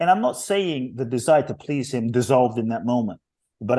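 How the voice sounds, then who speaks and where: Against a quiet background, a man's dark, mellow voice sits at medium pitch with lively intonation. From London, England. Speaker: inspirational speaker. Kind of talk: interview conversation. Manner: emphatic.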